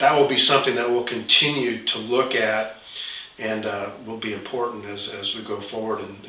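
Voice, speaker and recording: Talking at a fairly quick pace, a man keeps fairly even intonation amid audible room echo. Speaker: host of a health product site. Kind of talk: conversational update, promotional talk. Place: office. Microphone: camera far.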